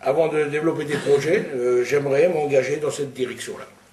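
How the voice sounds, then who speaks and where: Noticeable noise sits behind a man who talks fairly quickly. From Montchanin, Burgundy, France. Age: 60s. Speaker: local election candidate. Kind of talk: candidate statement.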